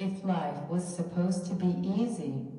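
Fairly slow speech from a woman in a room with audible echo. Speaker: minister giving a lecture. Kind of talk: lecture. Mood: earnest, encouraging. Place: church.

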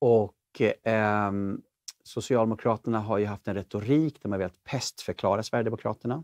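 An ordinary speaking voice from a man, fairly low in pitch, at a moderate pace with fairly even intonation, in a dry sound with no echo against a quiet background. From Sweden. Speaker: talk show host. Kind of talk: interview conversation; show outro. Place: studio. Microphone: lapel.

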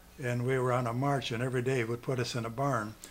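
The speech moves at a fast pace. There is little pitch movement. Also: man, medium pitch for a man.

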